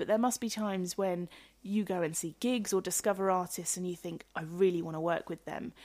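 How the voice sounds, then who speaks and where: Speaking at a fairly quick pace in a normal speaking voice, a woman is heard on a very clean recording with a silent background. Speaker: radio show host. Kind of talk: radio interview. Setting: radio studio.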